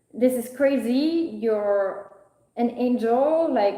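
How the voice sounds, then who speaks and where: A woman speaks loudly and at a high pitch with a French accent. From France. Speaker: spiritual content creator. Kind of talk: live stream monologue. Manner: halting.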